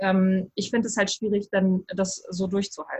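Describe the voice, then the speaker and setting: Somewhat breathy, a woman at medium pitch talks at a fairly quick pace. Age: 30s. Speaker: writing coach. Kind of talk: interview. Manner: halting, many fillers.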